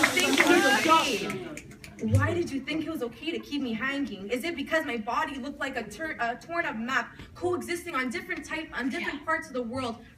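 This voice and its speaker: A woman's raised, projected voice, high-pitched and intense in tone, with ordinary pitch variation, a fairly quick pace and noticeable background noise. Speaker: slam poet. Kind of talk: slam poetry performance. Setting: live coffee house event. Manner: emotional, intense.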